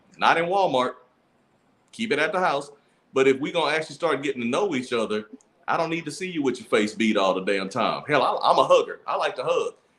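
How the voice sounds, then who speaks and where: An animated, very fast man with a Louisiana accent, fairly high pitch, vocal fry and very wide pitch swings. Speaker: podcast co-host. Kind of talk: casual chat.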